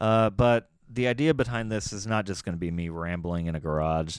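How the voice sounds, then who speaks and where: With an American accent, a man talks at a fairly quick pace in a very deep, low voice on a very clean recording with a silent background. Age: 30s. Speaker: podcaster and blogger. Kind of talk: casual monologue. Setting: garage. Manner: rambling, halting with fillers.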